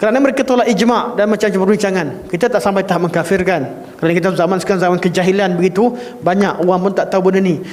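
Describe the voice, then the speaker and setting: With a Malaysian accent, a man talks at a high pitch with ordinary pitch variation. Audible room echo and noticeable background noise are present. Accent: Malaysian Malay. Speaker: Islamic religious teacher. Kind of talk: religious lecture. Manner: firm, emphatic in creed class.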